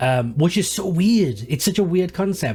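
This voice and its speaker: Over background music, a man with a fairly high pitch speaks at a moderate pace with lively intonation. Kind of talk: casual talk to camera.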